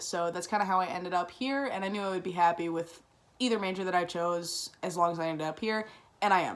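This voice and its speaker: Speaking at a fairly quick pace, a woman with a Chicago-area accent and a fairly low pitch keeps her intonation fairly even. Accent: Chicago-area American English. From Chicago south suburbs, US Midwest. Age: 20s. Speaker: college student. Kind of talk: class assignment self-introduction video. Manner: fast; many fillers (um, uh, like).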